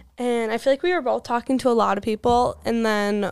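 In a very clean recording with a silent background, a woman with an Upper Midwest accent speaks fairly quickly at a high pitch. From Wisconsin, near La Crosse. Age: 20s. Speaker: college student. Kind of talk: casual chat.

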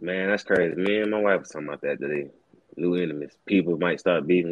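A man with a Southern US accent, very deep and low in pitch, at a very fast pace. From Alabama, small country town. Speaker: rapper and show host. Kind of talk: casual chat.

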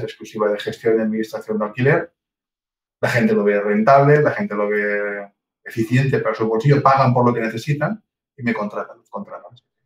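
Pitch varies in an ordinary way in what is an ordinary speaking voice. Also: man. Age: 50s. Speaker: real estate agency owner. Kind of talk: interview.

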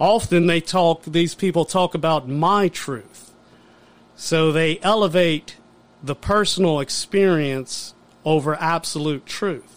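A man with a high pitch and ordinary pitch variation speaks at a very slow pace. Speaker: guest podcast host. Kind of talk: political commentary. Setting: studio.

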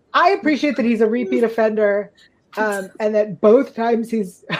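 At a moderate pace, a woman uses an ordinary speaking voice with a fairly high pitch and ordinary pitch variation. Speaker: podcast co-host. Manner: relaxed, chatty, frequent filler ums.

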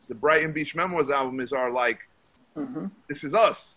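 Speaking at a moderate pace with a New York accent, this voice has a bright, sharp tone and lively intonation. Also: man. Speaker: rapper. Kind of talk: casual chat.

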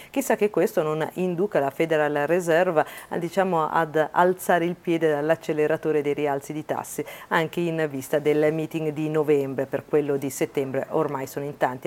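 With an upbeat, energetic tone, a woman talks at a moderate pace in a very deep, low pitch. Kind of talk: news report. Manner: brisk, fluent newsreader delivery, upbeat and energetic; clear, formal and polished.

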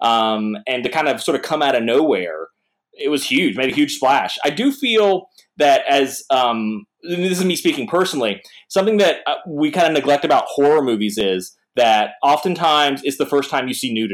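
With an American accent, a man talks in an ordinary speaking voice, fairly high in pitch, using lively intonation at a moderate pace. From North Carolina. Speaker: comic artist. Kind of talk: casual chat.

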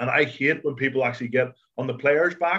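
At a very fast pace, a man speaks with medium pitch and fairly even intonation. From Ireland. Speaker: former rugby international, pundit. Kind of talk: casual chat.

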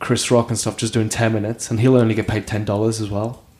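A man is speaking. His pace is very fast. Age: 30s. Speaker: comedian. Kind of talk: casual chat.

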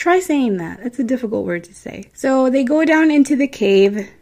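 A woman with a Midwestern American accent, a high pitch, a dark, mellow tone, lively intonation and a moderate pace. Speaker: podcast host. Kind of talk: storytelling podcast monologue. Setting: home recording at night. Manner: casual, chatty.

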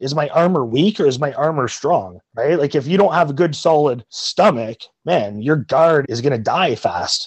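With a Canadian accent, a man talks in an ordinary speaking voice, fairly high in pitch, with lively intonation, a moderate pace and hardly any pauses. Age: 30s. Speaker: martial arts instructor. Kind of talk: interview.

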